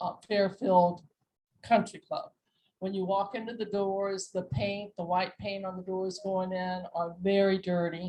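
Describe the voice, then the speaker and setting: Her voice dark and mellow, a woman speaks at a medium pitch and a fairly slow pace in a flat, monotone intonation. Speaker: community resident. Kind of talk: public comment at meeting. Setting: community meeting room with microphone. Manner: loud.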